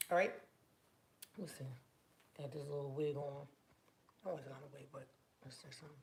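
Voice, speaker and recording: A woman with a very deep, low pitch speaks at a very fast pace, somewhat breathy, with fairly even intonation and long, frequent pauses. Her loudness swings widely, and audible room echo surrounds her. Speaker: hair product maker and beauty vlogger. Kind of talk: casual product vlog. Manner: casual, chatty.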